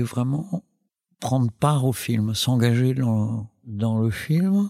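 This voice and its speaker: Through a dry, close sound with no echo, a man with a dark, mellow tone and medium pitch speaks at a very slow pace with lively intonation. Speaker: documentary filmmaker. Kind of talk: interview. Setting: recorded at a film school in Paris. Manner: halting, many fillers and repetitions.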